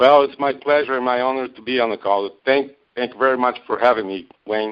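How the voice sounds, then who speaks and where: Speech with a Brazilian Portuguese accent moves at a fairly quick pace, with ordinary pitch variation and big swings in loudness. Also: man, medium pitch for a man. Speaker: network marketing distributor. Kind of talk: interview on a call. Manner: halting, many fillers.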